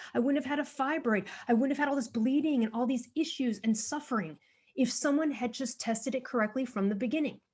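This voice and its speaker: A woman speaks at a very fast pace in an animated tone. Her pitch is high, with ordinary variation. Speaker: author and thyroid health advocate. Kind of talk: podcast interview.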